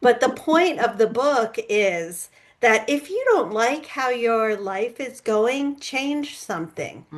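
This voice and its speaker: A woman's high-pitched voice, very slow, with lively intonation. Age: 60s. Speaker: author and public speaker. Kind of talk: interview conversation.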